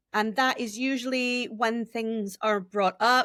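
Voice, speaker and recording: In an animated tone, a woman with an American accent speaks at a fairly high pitch, in a very clean recording with a silent background and a dry, close sound with no echo. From United States. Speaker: speech and language therapist. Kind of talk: podcast interview.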